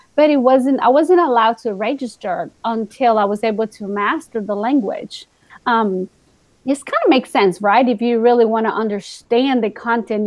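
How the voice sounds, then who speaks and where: Pitch varies in an ordinary way as a woman talks. She has a Spanish accent. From Guatemala. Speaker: teacher. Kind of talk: casual chat. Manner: animated.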